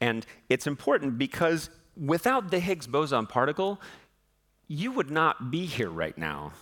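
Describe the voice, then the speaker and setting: Speaking with an American accent, a man uses vocal fry and lively intonation at a fairly slow pace, leaving long, frequent pauses. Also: fairly high pitch for a man. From US West, southern Utah. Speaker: physicist. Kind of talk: public lecture.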